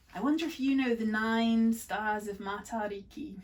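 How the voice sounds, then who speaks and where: A woman talks at a fairly slow pace in a somewhat breathy voice with ordinary pitch variation. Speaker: kindergarten teacher. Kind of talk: casual talk to children.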